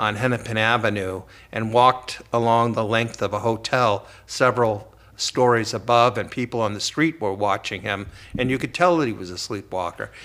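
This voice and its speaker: A normal speaking voice from a man, medium in pitch, at a moderate pace. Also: ordinary pitch variation. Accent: American. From US Midwest, Cleveland, Ohio. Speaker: professor and author. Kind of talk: interview.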